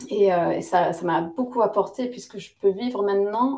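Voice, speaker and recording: The speaker is a woman. Her pitch is fairly high. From Lebanese-British, lived in several countries. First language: English (speaking French). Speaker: naturopath and yoga teacher. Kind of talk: interview. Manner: hesitant, many fillers.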